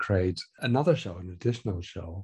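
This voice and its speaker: A man with a German accent speaks somewhat breathily against a quiet background. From Germany. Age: 50s. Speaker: research software engineer. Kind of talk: interview.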